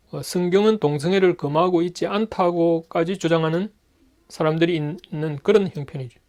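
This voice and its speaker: Pitched high, the man speaks with ordinary pitch variation. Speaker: Bible teacher. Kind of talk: lecture.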